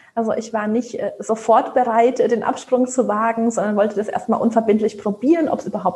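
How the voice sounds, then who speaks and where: An ordinary speaking voice at a moderate pace, with big swings in loudness, ordinary pitch variation and hardly any pauses. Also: woman. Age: 30s. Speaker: job application coach. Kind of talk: casual chat.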